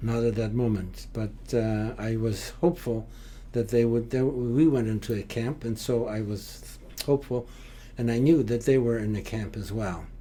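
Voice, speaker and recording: The tone is dark and mellow. The pace is moderate. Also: man, medium pitch for a man, fairly even intonation. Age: 80s+. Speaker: Holocaust survivor. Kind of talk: interview. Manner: halting, frequent uh fillers.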